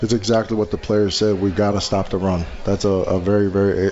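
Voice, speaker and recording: A fairly low-pitched male voice at a fairly quick pace, over noticeable background noise. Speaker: college football assistant coach, former NFL player. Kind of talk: radio interview.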